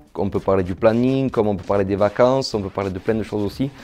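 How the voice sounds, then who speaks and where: Fairly quick speech from a man at a fairly low pitch, with ordinary pitch variation and noticeable background noise. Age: 30s. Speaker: psychiatric nurse. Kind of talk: testimony interview. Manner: hesitant, with fillers and repetitions.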